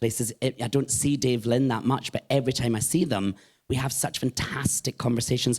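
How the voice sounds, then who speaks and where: In a Scottish accent, a voice speaks fairly quickly with monotone, flat intonation, the sound dry and close with no echo. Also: man. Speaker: drag performer and singer. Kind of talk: live podcast interview. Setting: live podcast recording at a venue with audience.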